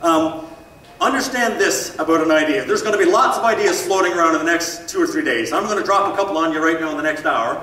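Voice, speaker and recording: Amid noticeable background noise and audible room echo, a man talks at a very fast pace in a raised, projected voice with very wide pitch swings. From Newfoundland, Canada. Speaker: motivational speaker and real estate coach. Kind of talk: keynote seminar talk. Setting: conference stage with audience. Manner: animated.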